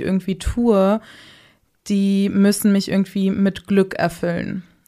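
Her voice has a dark, mellow tone at a medium pitch, and the woman speaks at a very slow pace. The recording is very clean, with a silent background. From Hamburg, northern Germany. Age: 20s. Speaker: podcast producer. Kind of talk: casual interview.

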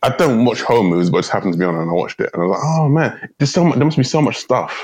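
A man's very fast speech in a London accent, with very wide pitch swings and very even loudness. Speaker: comedian, podcast co-host. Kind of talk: casual chat. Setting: remote recording.

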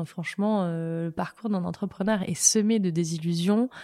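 The woman has a medium-pitched voice with a dark, mellow tone. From provincial France. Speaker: startup founder and CEO. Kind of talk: interview.

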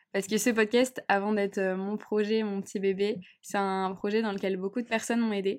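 In a very clean recording with a silent background, a woman of medium pitch speaks at a moderate pace. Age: 20s. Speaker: podcast host. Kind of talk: casual monologue. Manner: animated.

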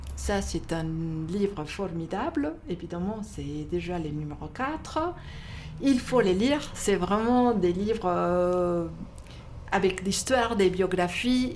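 Heard with audible room echo, a woman talks at a very slow pace with a medium pitch and lively intonation. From Mexico. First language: not French (speaking French). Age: 60s. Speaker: bookshop owner. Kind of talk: casual interview. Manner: halting.

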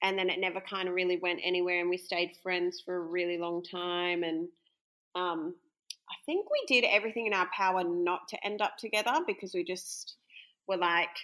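A woman's bright, sharp tone comes through as she talks at a moderate pace. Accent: Australian. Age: 30s. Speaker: bride interviewed about her wedding. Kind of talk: casual interview.

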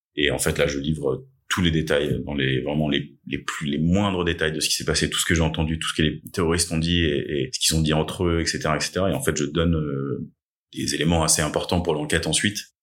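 A man's very deep, low voice carries vocal fry and fairly even intonation. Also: fairly quick pace. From Paris suburbs, Essonne. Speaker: attack survivor. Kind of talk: testimony. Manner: hesitant, many filler sounds.

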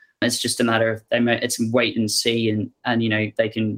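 In a very clean recording with a silent background, a man talks at a fairly quick pace with a medium pitch and monotone, flat intonation. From Melbourne, Australia. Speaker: fintech company CEO. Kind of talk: interview.

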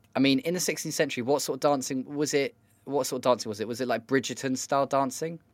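Talking very fast with a British accent, a man keeps a medium pitch and fairly even intonation in a very clean recording with a silent background. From Britain. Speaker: podcast producer and co-host. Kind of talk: casual chat.

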